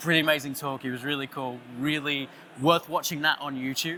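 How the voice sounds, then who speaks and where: At a fairly quick clip, a man talks in an Australian accent. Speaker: creative director, conference speaker. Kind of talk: conference talk. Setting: stage with audience, listeners on headphones. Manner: animated.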